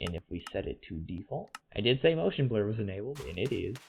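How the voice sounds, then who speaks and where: A man speaks at a medium pitch and a moderate pace. His voice is somewhat breathy, with lively intonation. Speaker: gaming video narrator. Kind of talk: voiceover rant about video game graphics. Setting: headset microphone. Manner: casual, opinionated.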